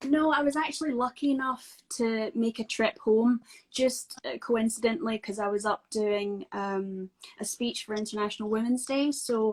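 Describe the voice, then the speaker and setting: A woman speaks with a Scottish accent at a moderate pace and a fairly high pitch. Her pitch varies in an ordinary way, and the sound is dry and close with no echo. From Scotland. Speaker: actress. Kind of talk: casual interview chat.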